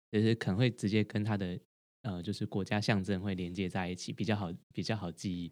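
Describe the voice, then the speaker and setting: A man with a fairly low pitch talks fairly quickly, his intonation fairly even. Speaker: podcast co-host, doctorate holder. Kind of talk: casual chat. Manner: halting, frequent repetitions.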